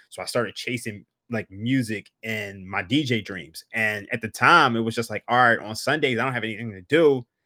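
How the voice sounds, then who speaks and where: A man's bright, sharp, medium-pitched voice at a fairly quick pace with hardly any pauses and big swings in loudness, dry and close with no echo, in a very clean recording with a silent background. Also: ordinary pitch variation. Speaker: sports betting analyst. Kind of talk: casual chat.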